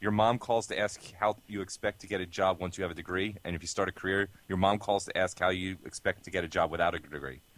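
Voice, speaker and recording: Very deep and low in pitch, a man speaks at a fairly quick pace with fairly even intonation. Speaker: co-host. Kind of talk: casual podcast banter.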